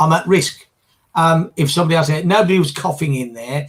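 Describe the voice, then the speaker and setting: This man's voice shows vocal fry and ordinary pitch variation. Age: 60s. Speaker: business finance panelist. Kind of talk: casual chat. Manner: halting.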